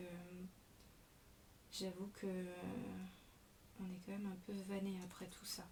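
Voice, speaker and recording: A woman is speaking. Room echo is audible. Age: 40s. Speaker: scrapbooking demonstrator. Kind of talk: craft tutorial. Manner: hesitant, many fillers.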